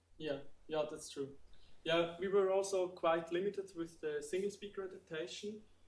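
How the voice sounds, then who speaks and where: Audible room echo surrounds a man's voice. He speaks at a fairly slow pace with fairly even intonation. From Switzerland, Entlebuch (Lucerne). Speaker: student researcher presenting. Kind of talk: conference Q&A. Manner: hesitant, many fillers.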